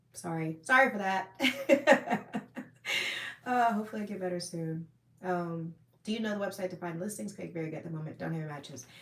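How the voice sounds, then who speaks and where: Over noticeable background noise, a woman talks fairly quickly at a medium pitch with lively intonation. Her loudness swings widely. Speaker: firearms and self-defense livestreamer. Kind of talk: live stream chat reading viewer comments. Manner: casual with many fillers.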